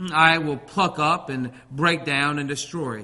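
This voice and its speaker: A man talks at a fairly slow pace, with fairly high pitch and fairly even intonation. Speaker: preacher. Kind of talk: sermon. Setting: church. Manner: halting.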